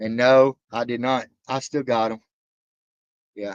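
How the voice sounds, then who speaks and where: A man with a Southern accent. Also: dry, close sound with no echo. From Alabama. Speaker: reaction livestreamer. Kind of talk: casual livestream chat. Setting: livestream.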